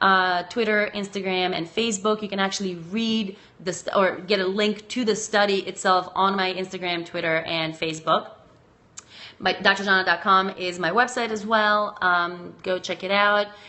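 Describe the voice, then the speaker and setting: At a moderate pace, a woman talks in a monotone with flat intonation. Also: medium pitch for a woman. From Macedonia. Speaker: sex researcher and educator. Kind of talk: live stream chat answering viewer comments. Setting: live video stream.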